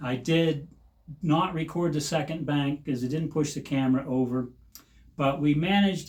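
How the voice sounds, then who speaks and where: A somewhat breathy man's voice, fairly high in pitch, at a moderate pace. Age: 60s. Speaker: shooting hobbyist channel host. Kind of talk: narrated video commentary. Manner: halting with many fillers.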